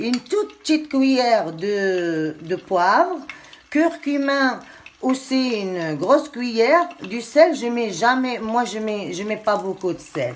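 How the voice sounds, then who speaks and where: A woman speaking very slowly, her pitch swinging very widely, over noticeable background noise. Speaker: home cooking youtuber. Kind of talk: cooking tutorial. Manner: loud; heavy audible breathing, asthmatic.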